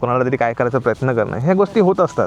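A man with an unremarkable speaking voice talks at a medium pitch with lively intonation. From Konkan, Maharashtra. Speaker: YouTuber. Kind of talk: casual chat. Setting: outdoors.

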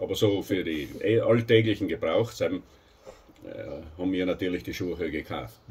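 A man with a South Tyrolean accent, fairly slow in pace, with hardly any pauses. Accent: Pustertal German dialect. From South Tyrol, Italy. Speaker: host telling about old times. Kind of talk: interview answer. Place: home room. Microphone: camera far.

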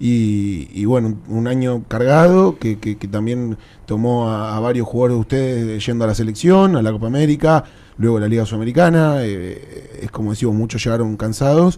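A dark, mellow tone in a Rioplatense accent. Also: man, medium pitch for a man, ordinary pitch variation, moderate pace. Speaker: sports show host. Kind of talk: interview.

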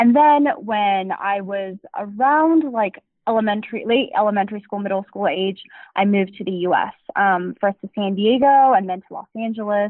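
A woman with an American accent talks in an ordinary speaking voice at a medium pitch and moderate pace, her pitch varying in an ordinary way. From Taiwan and the US. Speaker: startup founder and CEO. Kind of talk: interview.

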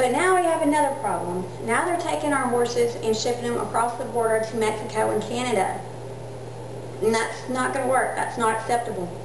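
A woman at a fairly quick pace, amid audible room echo and noticeable background noise. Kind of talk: informal speech to camera. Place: home room. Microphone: camera far.

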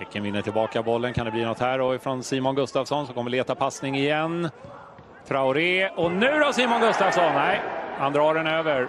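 A man with a fairly high pitch sounds animated and excited, his intonation lively above noticeable background noise. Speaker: football commentator. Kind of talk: live sports commentary. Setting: match highlights, commentary recorded over a football game. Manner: animated, excited play-by-play with quick bursts and rising emphasis on chances and goals; fluent but occasionally hesitant, with 'eh' fillers while describing the action.

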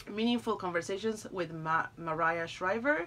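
A woman speaks with a non-native accent. Her pitch swings very widely. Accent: foreign-accented English. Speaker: YouTuber doing product unboxing. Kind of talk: unboxing review. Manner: animated. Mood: warm, delighted. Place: home room. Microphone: phone near.

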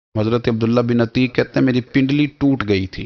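This man has an ordinary speaking voice at a medium pitch. His pitch variation is ordinary. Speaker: Islamic preacher delivering a religious sermon. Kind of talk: religious sermon (bayan).

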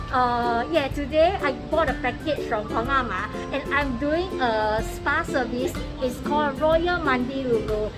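Clear music in the background under a woman talking at a fairly slow pace. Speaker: vlog co-host. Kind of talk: casual vlog chat. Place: street. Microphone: phone near.

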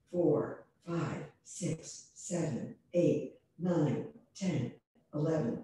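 Speaking very slowly at a very deep, low pitch with ordinary pitch variation, a woman is heard in strong room echo over light background noise. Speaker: yoga teacher. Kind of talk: instruction. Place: home room. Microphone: webcam.

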